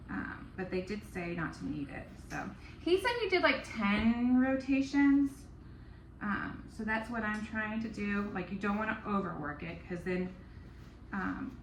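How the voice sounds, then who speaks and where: A woman mumbles at a fairly slow pace and medium pitch, with lively intonation. Audible room echo fills the recording. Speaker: home baker, baking vlogger. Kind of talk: casual baking tutorial vlog. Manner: mumbling; alternates too loud and too quiet.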